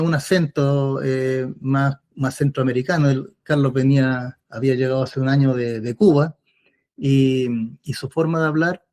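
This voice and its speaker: Speaking at a fairly slow pace with a Chilean accent, a man has a dark, mellow tone and fairly even intonation. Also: dry, close sound with no echo. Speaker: former political prisoner. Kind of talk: interview testimony. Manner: hesitant, with many fillers.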